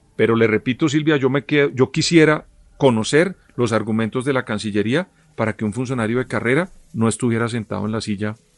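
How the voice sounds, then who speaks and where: With a Colombian accent, a man speaks at a medium pitch with ordinary pitch variation and a dry, close sound with no echo. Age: 50s. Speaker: political analyst. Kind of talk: interview commentary.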